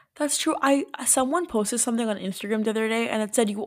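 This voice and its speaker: A woman at a very fast pace, with a fairly high pitch and ordinary pitch variation. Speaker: podcast co-host. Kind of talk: casual chat.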